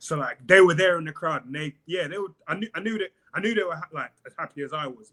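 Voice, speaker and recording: A man with a London accent talks very fast in a high, bright and sharp voice, his loudness swinging widely and his pitch varying in an ordinary way, recorded dry and close with no echo. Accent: southern English (London). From South East London, England. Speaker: pro MMA fighter. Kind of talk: casual podcast interview.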